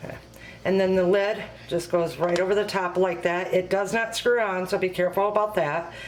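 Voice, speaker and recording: Amid audible room echo and noticeable background noise, a woman talks at a fairly quick pace in a monotone, flat intonation. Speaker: home cooking video host and product consultant. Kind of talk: tutorial. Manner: quiet, speaking low; hesitant, many fillers.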